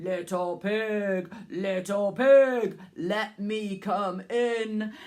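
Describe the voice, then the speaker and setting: A put-on character voice with a fairly high pitch. It moves at a very slow pace. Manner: menacing, coaxing.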